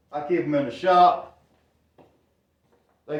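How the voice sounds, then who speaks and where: Loud and at a moderate pace, a man with a Southern US accent speaks at a high pitch with fairly even intonation, and audible room echo fills the space. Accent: US South. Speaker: woodworking youtuber. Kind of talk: tutorial. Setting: workshop.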